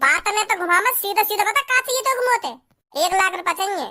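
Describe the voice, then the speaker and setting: Putting on a squeaky, cartoonish character voice, a woman speaks at an extremely high pitch and fairly quick pace with lively intonation. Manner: curt, suspicious.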